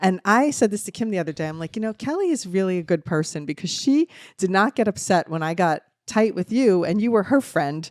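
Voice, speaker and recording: An animated voice with a slight New Jersey accent moves at a fairly quick pace, the sound dry and close with no echo. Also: woman, medium pitch for a woman, lively intonation, very clean recording, silent background. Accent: New Jersey, mild. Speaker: podcast co-host, mother. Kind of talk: casual chat.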